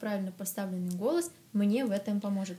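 Fast-talking at a very fast pace, a woman of fairly high pitch shows ordinary pitch variation. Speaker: podcast host. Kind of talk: casual interview chat.

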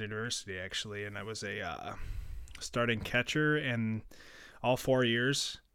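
Speaking with an Upper Midwest accent, a man of medium pitch has a bright, sharp tone and a moderate pace on a very clean recording with a silent background. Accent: Upper Midwest American. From Minnesota, Plymouth. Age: 20s. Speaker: sports podcast host. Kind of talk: casual solo podcast talk. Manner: hesitant, many fillers.

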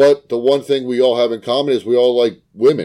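Speaking at a fairly quick pace, a man has a medium pitch, a dark, mellow tone and fairly even intonation.

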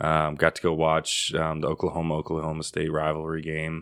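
A man speaks in a very deep, low pitch at a moderate pace. The recording is very clean with a silent background. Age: 30s. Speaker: podcast host, veterinary worker. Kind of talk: casual chat.

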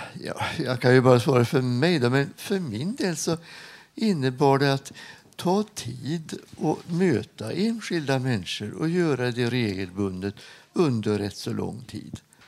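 At a fairly slow pace, a man talks with a medium pitch and very wide pitch swings. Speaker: retired hospital chaplain. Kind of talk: interview. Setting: studio with live audience.

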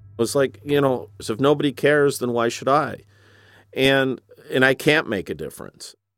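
In an American accent, an ordinary speaking voice moves at a moderate pace with fairly even intonation. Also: man, medium pitch for a man. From Flint, Michigan. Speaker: former payday lender. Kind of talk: interview.

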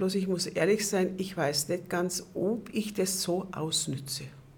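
A woman talks at a very slow pace in a medium pitch. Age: 80s+. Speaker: senior club member. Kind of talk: interview. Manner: hesitant, many fillers.

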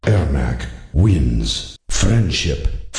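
There is a slight echo as a man puts on a character voice with a very deep, low pitch and very wide pitch swings. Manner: booming, dramatic.

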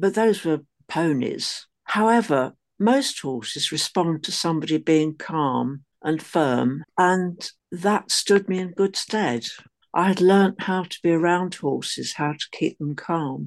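The speech comes at a very slow pace with lively intonation. The background is quiet. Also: woman, fairly low pitch for a woman. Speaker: former peace activist. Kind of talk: oral history interview.

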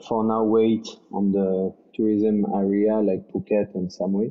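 A man talks at a very slow pace with a French accent. His pitch is fairly low. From France. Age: 20s. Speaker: executive chef. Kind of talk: interview.

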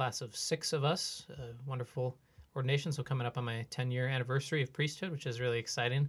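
With an Upper Midwest accent, a man speaks at a very fast pace in a somewhat breathy, medium-pitched voice with fairly even intonation. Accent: Upper Midwest (Minnesota). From central Minnesota (Brainerd area). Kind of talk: casual interview conversation. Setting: podcast recording.

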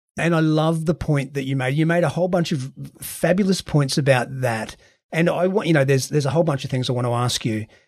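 This man talks at a fairly quick pace with ordinary pitch variation. His voice is somewhat breathy. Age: 40s. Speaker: podcast host. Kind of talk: interview.

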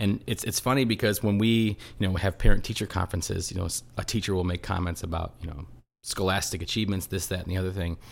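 Very fast and very deep, a man talks with fairly even intonation on a very clean recording with a silent background. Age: 40s. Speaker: local politician. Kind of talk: casual chat.

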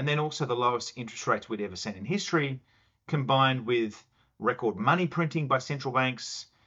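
Speaking with an Australian accent, a man uses a medium pitch and ordinary pitch variation. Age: 40s. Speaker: chief investment officer. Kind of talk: casual interview.

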